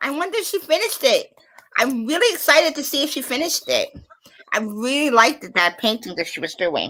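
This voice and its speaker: A woman talks at a very fast pace in a raised, projected voice that is high in pitch. Her pitch swings very widely and her loudness rises and falls a lot. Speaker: paranormal live stream host. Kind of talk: casual chat. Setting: live stream. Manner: animated.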